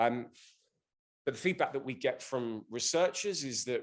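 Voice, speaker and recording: At a moderate pace, a man speaks in a London accent. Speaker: business executive, conference speaker. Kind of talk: conference presentation.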